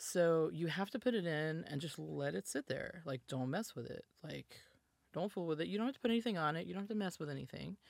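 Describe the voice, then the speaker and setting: In an American accent, a woman talks at a very fast pace with lively intonation on a very clean recording with a silent background. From US South. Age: 40s. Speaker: musician and data scientist. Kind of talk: casual interview.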